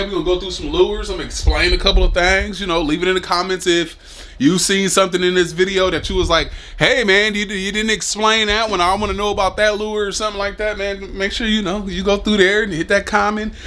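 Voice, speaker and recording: A man with a high pitch projects a raised voice in an animated tone at a very fast pace. Noticeable background noise runs behind him. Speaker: fishing YouTuber. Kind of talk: casual vlog talk. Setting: indoors at home. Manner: stuttering; fast, animated.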